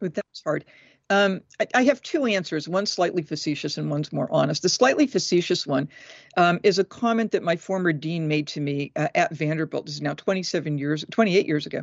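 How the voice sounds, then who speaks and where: A woman with an American accent talks at a fairly quick pace in an ordinary speaking voice, her pitch fairly low and her intonation lively. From Massachusetts, New England. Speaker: professor of religious studies. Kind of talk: interview.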